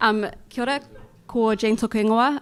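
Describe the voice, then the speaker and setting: A woman speaks at a moderate pace in a New Zealand accent. Her pitch varies in an ordinary way.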